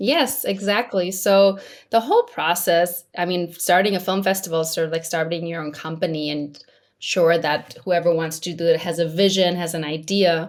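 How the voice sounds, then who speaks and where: Speaking in an American accent, a woman with a normal speaking voice and fairly low pitch keeps a moderate pace and fairly even intonation. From Majorca, Spain. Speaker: film festival founder and consultant. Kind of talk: interview.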